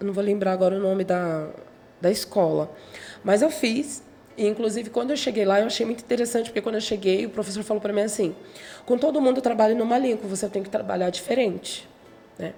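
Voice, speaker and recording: Over noticeable background noise, a woman speaks at a very fast pace with long, frequent pauses, a fairly high pitch and ordinary pitch variation. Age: 40s. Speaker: gospel singer. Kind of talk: interview.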